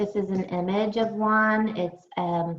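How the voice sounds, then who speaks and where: Speaking at a fairly slow pace, a woman has a plain, everyday voice with ordinary pitch variation. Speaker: early intervention specialist. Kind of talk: webinar presentation.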